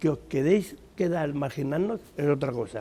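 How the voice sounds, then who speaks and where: A man's fairly high voice with a dark, mellow tone, ordinary pitch variation and a fairly slow pace. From Spain, Madrid. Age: 60s. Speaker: retired trade unionist and community volunteer. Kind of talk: interview. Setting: school playground.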